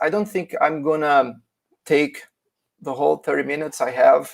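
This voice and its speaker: A man speaks with a Portuguese accent. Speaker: philosophy teacher presenting a paper. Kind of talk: academic conference presentation. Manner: halting, many fillers.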